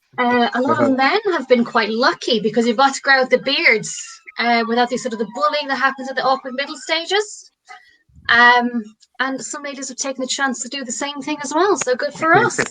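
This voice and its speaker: Her voice raised and projected, a woman with an Irish accent talks at a fairly quick pace and high pitch, with ordinary pitch variation and big swings in loudness. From Ireland, rural. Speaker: comedian. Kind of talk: stand-up.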